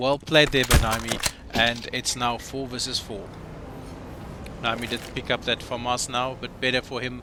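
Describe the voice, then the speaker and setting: There is noticeable background noise in this clip. A man speaks at a medium pitch. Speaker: esports caster. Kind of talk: live commentary. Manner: stumbling over words.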